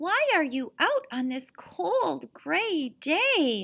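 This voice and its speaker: The put-on character voice is squeaky and moves at a very slow pace. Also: woman, high pitch for a woman. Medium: read story. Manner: sensible, earnest.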